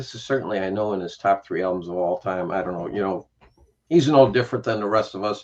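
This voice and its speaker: A man's fairly low voice moves at a very fast pace. His pitch varies in an ordinary way. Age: 60s. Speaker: music YouTuber. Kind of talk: casual chat.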